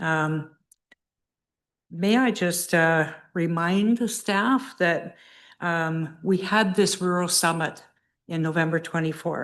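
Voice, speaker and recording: A woman speaks at a very slow pace, with long, frequent pauses and a fairly low pitch. The background is quiet. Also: ordinary pitch variation. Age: 70s. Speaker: applicant, horse farm owner. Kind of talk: testimony at a public hearing. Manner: halting.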